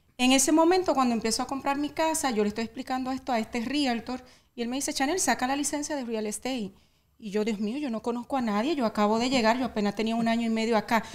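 A woman's high-pitched voice at a very fast pace, ordinary pitch variation, on a very clean recording with a silent background. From Dominican Republic. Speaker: real estate agent. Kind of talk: interview.

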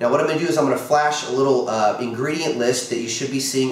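Room echo is audible, along with light background noise. The pitch variation is ordinary. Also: man. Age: 40s. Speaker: product promoter; product seller. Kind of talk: sales pitch. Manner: casual. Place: kitchen. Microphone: camera far.

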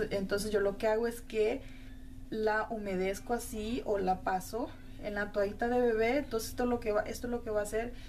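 Light background noise accompanies a woman speaking at a moderate pace. Her intonation is flat and monotone. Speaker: makeup vlogger. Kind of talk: tutorial. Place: home room. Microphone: phone near.

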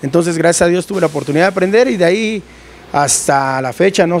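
Light background noise sits behind a man talking at a fairly quick pace. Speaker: lighting technician. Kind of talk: casual interview. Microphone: handheld.

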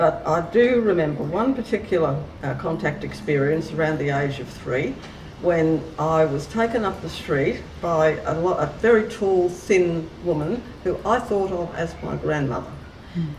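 A woman with an Australian accent speaks at a fairly slow pace in a fairly low voice, with noticeable background noise. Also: lively intonation. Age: 60s. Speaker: contact experiencer and author. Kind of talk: interview answer.

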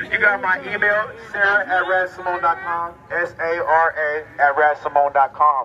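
This is a man speaking. Light background noise can be heard. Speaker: speaker. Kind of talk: rally speech. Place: street. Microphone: camera far.

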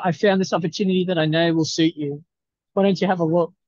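With an Australian accent, a man speaks in a dark, mellow tone with fairly even intonation, the sound dry with no echo and the background quiet. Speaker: research institute staff; presenter. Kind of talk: video call meeting. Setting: video call from a university campus. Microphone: video call.

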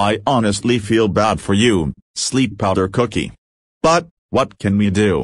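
Against a quiet background, a man uses a raspy, put-on character voice at a fairly low pitch, with ordinary pitch variation, at a moderate pace. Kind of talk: audio drama dialogue.

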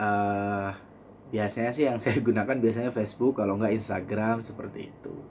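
A man speaks at a moderate pace and medium pitch. Light background noise is present. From East Java, Indonesia (Blitar); East Java, Indonesia. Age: 30s. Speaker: vlogger. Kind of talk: personal vlog monologue. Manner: halting, with frequent fillers. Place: home room. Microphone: phone near.

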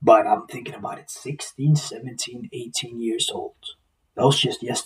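A man speaks at a medium pitch. His voice carries a husky, rough edge.

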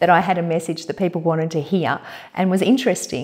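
Her voice has a dark, mellow tone, and the woman is heard over a quiet background. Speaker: coach. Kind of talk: interview answer. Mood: warm, animated. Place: home room.

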